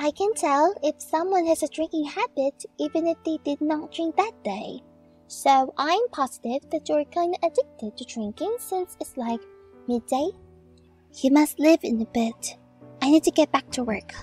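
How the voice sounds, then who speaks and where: Faint music plays behind a woman with a high pitch and lively intonation, who speaks at a moderate pace in a dry, close sound with no echo. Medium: voice reel. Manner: energetic, emotional, playful.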